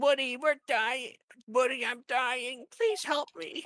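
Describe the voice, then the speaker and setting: In a put-on character voice, a female-sounding speaker talks at a fairly slow pace with a squeaky, high pitch. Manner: pitiful, desperate.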